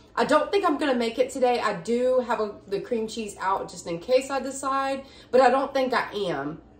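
Audible room echo and a moderate pace. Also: woman. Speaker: home vlogger. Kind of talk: casual vlog chat. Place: kitchen. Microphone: phone near.

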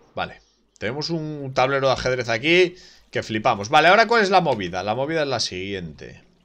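The speaker's bright, sharp tone moves at a fairly quick pace through very wide pitch swings. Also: man. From Spain. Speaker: gaming streamer. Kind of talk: live gameplay commentary. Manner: casual. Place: home room.

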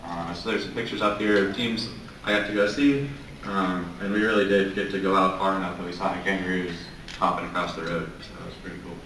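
Very fast speech from a man with an American accent and a fairly low pitch, plus audible room echo and light background noise. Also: fairly even intonation. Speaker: robotics mentor, works for space agency; presenter. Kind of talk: presentation. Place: hall. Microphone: camera far.

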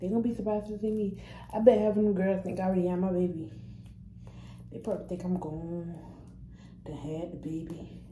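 A woman talks at a very fast pace with ordinary pitch variation, yet leaves long, frequent pauses. Audible room echo and light background noise are present. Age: young. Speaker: vlogger and restaurant server. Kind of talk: casual vlog monologue. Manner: casual, rambling, repetitive. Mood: relaxed, playful. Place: bathroom. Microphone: phone near.

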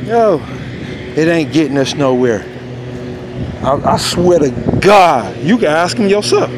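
A man speaks at a very slow pace. The sound is dry with no echo, over noticeable background noise. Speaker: vlogger. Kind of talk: casual vlog rant. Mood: upset, preachy about parenting. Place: street. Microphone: phone near.

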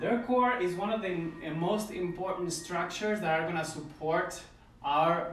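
A man with a high voice speaks with ordinary pitch variation in a room with audible echo. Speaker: ballet instructor. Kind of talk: tutorial. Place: home room. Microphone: camera far.

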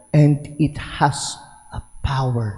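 A man is speaking here. His pitch sits fairly high. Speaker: priest. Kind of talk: homily in a Mass. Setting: church with congregation. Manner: animated, conversational; warm, call-and-response with congregation.

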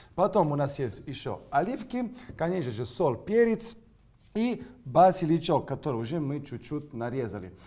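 In a dark, mellow tone, a man speaks with very wide pitch swings. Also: fairly high pitch for a man, moderate pace. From Sicily, Italy. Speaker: chef. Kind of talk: cooking demonstration. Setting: kitchen studio. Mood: playful, upbeat. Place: kitchen.

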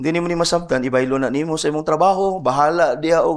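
The voice has ordinary pitch variation, and the background is quiet. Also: man. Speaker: pastor. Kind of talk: sermon. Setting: church. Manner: earnest, preaching, mixes English and Cebuano. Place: church. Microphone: podium.

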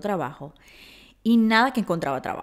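The voice moves through very wide pitch swings. The background is quiet. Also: woman. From Venezuela, Maracaibo; Venezuela. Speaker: podcast host. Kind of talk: storytelling monologue. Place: home room. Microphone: studio mic.

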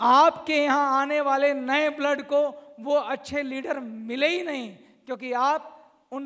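Over a quiet background, a man speaks very slowly at an extremely high pitch, his intonation fairly even. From India, Uttar Pradesh (Saharanpur), then Delhi; Uttar Pradesh. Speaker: company founder, motivational speaker; motivational speaker. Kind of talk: motivational speech. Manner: emphatic, repetitive. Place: hall. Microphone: handheld.

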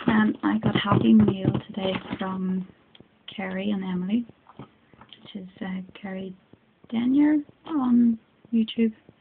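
Noticeable background noise behind a woman's medium-pitched voice at a very slow pace, with long, frequent pauses, lively intonation, and big swings in loudness. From Northern Ireland. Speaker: craft hobbyist. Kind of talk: casual craft unboxing talk to camera. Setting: phone recording at home. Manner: excited, chatty. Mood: delighted, excited. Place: home room. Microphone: phone near.

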